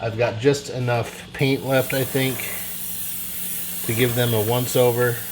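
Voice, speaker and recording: A man of medium pitch talks at a fairly slow pace with monotone, flat intonation. Long, frequent pauses break his speech amid noticeable background noise. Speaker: scale model builder and YouTuber. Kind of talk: tutorial. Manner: casual, hesitant with many fillers; mumbling.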